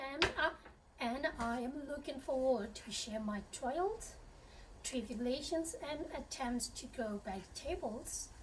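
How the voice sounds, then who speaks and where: A woman with a Burmese accent talks very slowly in a high voice with lively intonation. Noticeable background noise can be heard. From Myanmar. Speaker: home gardener. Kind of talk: channel introduction to camera.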